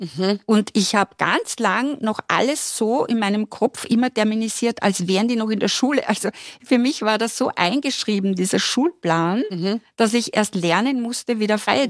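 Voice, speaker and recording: Her loudness very even and hardly pausing, a woman speaks at a moderate pace with ordinary pitch variation. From Austria, Styria. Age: 60s. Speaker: university lecturer. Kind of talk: podcast interview. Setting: studio.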